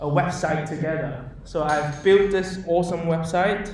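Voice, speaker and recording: A man talks at a high pitch and a fairly slow pace. The recording has audible room echo and noticeable background noise. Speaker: software developer giving a meetup talk. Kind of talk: live coding presentation. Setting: meetup talk with live audience. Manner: loud; animated. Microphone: speaking without a microphone while typing.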